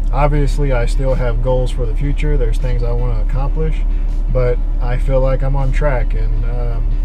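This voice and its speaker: Clear music plays behind a man whose voice sits at an extremely high pitch. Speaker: fishing vlogger. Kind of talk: casual vlog chat. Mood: reflective, grateful. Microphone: phone near.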